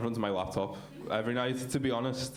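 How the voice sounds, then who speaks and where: Here a man with a Liverpool accent talks at medium pitch and a very fast pace. Room echo is audible. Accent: Scouse. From Liverpool, England. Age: 30s. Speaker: stand-up comedian. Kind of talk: stand-up. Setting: stage with audience. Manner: hesitant, many fillers.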